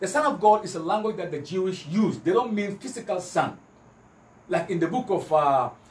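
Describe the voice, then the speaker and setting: Audible room echo surrounds a high-pitched man speaking at a fairly quick pace. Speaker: Islamic preacher giving a lecture. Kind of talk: religious lecture with Bible quotations, comparing Christianity and Islam. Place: home room.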